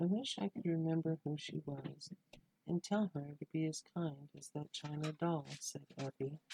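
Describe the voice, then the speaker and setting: A soft-spoken man talks at a moderate pace with ordinary pitch variation. The sound is dry and close, with no echo. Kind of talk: storytelling reading of a Christmas tale.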